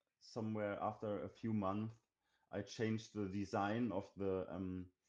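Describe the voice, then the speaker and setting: Speaking with a German accent, a man keeps a fairly low pitch, monotone, flat intonation and very even loudness at a fairly slow pace. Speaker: indie game developer. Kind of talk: interview. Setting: live stream. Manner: halting.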